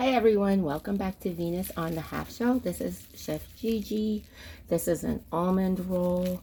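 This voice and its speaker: Her voice is somewhat breathy with a dark, mellow tone as the woman talks at a fairly slow pace. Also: medium pitch for a woman, ordinary pitch variation. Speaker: home cook video host. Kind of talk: casual chat. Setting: outdoors. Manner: soft-spoken; hesitant, many fillers.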